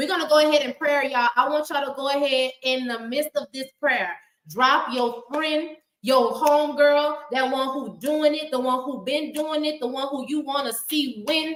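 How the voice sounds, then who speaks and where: Loud and animated in tone, the speaker talks with a Southern US accent. The pace is moderate. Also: woman. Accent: Southern US, country. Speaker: live stream talk show host. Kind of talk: prayer; casual chat. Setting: live stream with comment section.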